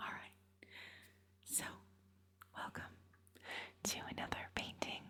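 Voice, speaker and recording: In a whisper, the speaker goes fairly slowly, pausing long and often. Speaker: painter. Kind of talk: ASMR painting narration. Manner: whispered, soft-spoken.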